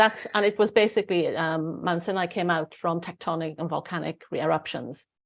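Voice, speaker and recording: In a Welsh accent, a woman with a fairly low pitch talks at a fairly quick pace with fairly even intonation, on a very clean recording with a silent background. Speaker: spiritual channeler, online show host. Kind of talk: casual live-stream chat.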